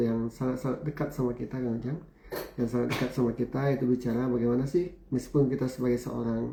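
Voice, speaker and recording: Over noticeable background noise, a man talks at a very fast pace in a medium pitch with fairly even intonation. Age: 50s. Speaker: university lecturer and business speaker. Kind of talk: talk show interview.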